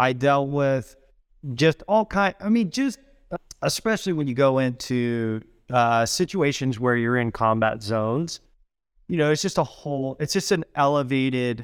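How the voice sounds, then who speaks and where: Recorded very cleanly against a silent background, a man with a normal speaking voice and fairly high pitch speaks at a fairly slow pace with lively intonation. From US Midwest, southwest Missouri. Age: 40s. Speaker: design executive and Marine veteran. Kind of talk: interview. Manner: casual, conversational.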